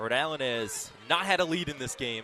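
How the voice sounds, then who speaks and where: With lively intonation, a man talks as noticeable background noise sits underneath. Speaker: sports play-by-play announcer. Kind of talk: live basketball play-by-play broadcast. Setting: radio broadcast from a basketball game. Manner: fast, energetic.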